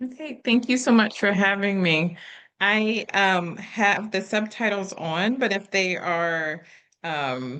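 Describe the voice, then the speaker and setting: A woman with a medium-pitched, bright, sharp tone speaks at a very slow pace. Her intonation is lively, and the background is quiet. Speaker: engineering professor. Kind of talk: lecture. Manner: informal.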